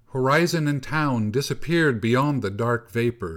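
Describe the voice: A passage in plain reading aloud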